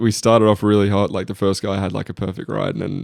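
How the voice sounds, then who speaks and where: In an Australian accent, a man talks at a very fast pace with a fairly low pitch and vocal fry. The recording is very clean, with a silent background. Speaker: college football punter. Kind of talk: casual chat. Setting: studio with live audience.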